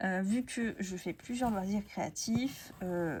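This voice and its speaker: This woman speaks at a very slow pace. Her voice is somewhat breathy. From France, Essonne countryside. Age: 30s. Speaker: crafts YouTuber. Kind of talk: casual chat. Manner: hesitant, many fillers.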